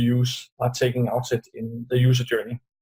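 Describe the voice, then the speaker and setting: With a Danish accent, a man talks at a medium pitch in a dark, mellow, somewhat breathy tone. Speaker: UX designer. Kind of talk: interview.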